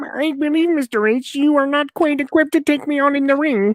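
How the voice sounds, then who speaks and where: The speaker uses a put-on character voice with a high pitch at a fairly quick pace. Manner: pompous, haughty.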